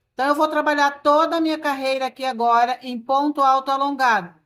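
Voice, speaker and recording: A woman shouts loudly in a high voice with ordinary pitch variation. The recording is very clean, with a silent background. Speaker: crochet instructor. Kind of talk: tutorial. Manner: loud, nearly shouting earlier in video; softer speaking now.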